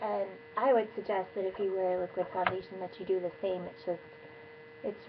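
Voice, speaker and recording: A woman's voice with noticeable background noise. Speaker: beauty vlogger. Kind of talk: tutorial. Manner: casual.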